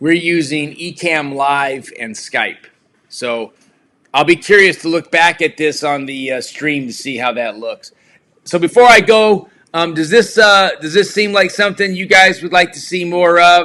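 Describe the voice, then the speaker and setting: A man is shouting, loud and high-pitched, with a bright, sharp tone. His pace is fairly slow. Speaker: live stream host. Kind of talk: casual chat. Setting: live video stream with remote guest. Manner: loud, projecting voice; yelling.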